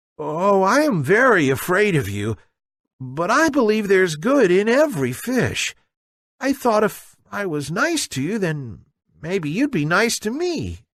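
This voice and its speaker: This is a put-on character voice at a middle pitch. It moves at a fairly slow pace with very wide pitch swings. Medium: read story. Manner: timid, earnest.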